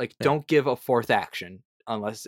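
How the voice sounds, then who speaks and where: At a fairly quick pace, a man with a medium pitch talks with lively intonation. The sound is dry and close with no echo, on a very clean recording with a silent background. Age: young. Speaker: tabletop RPG freelance writer and content creator. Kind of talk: casual interview chat.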